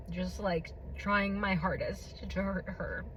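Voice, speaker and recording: Very slow speech from a woman, with room echo clearly audible. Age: 20s. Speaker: vlogger sharing personal testimony. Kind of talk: testimony.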